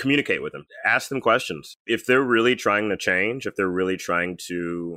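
Fairly low in pitch, a man speaks with an unremarkable speaking voice and an American accent. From US South, Birmingham, Alabama. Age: 30s. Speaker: comedian. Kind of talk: casual chat.

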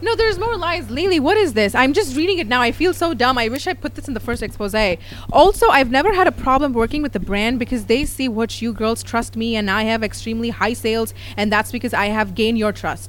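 With a Tamil accent, a woman talks at a very fast pace in an animated tone against noticeable background noise. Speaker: YouTuber and podcast host. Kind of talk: casual chat.

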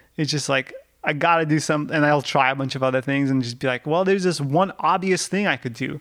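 A man with a Russian accent at a very fast pace, his fairly high pitch varying in an ordinary way. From Russia, Yekaterinburg. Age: 30s. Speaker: rock climber. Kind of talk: casual chat.

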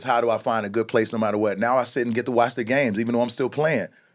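In a very clean recording with a silent background, a man with a plain, everyday voice speaks at a medium pitch with fairly even intonation. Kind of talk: casual interview.

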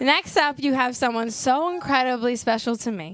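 A woman talks in an animated tone. Her pitch sits high. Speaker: comedian podcast host. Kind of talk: live comedy podcast chat. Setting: stage with audience. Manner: animated, chatty, laughing.

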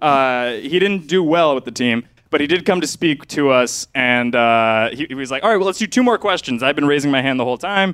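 A man with a General American accent and an unremarkable speaking voice talks at a fairly quick pace with hardly any pauses, his pitch fairly high and his intonation lively. The sound is dry and close, with no echo. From Cleveland, Ohio. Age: 20s. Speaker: comedy show host. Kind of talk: stand-up comedy. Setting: stage with audience.

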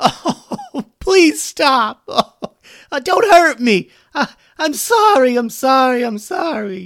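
A man's put-on character voice, extremely high-pitched, with a fairly bright tone, vocal fry, big pitch swings and a slow pace

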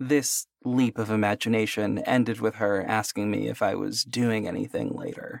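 A man talks at a moderate pace with hardly any pauses. The sound is dry and close, with no echo. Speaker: story narrator. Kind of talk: first-person horror story narration, read like a hushed bedtime ghost story. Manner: measured, intimate storytelling pace; voices characters in quoted dialogue.

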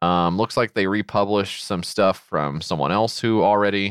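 A man with a slight Southern US accent speaks at a moderate pace in a fairly low pitch, in a dry, close sound with no echo, on a very clean recording with a silent background. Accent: slight Southern twang. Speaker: podcast co-host. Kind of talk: casual chat.

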